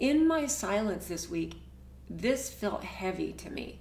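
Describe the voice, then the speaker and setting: A woman's very slow speech with big swings in loudness and audible room echo. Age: 60s. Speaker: herbal business owner and vlogger. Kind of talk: casual personal vlog monologue. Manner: halting with frequent fillers and repetitions.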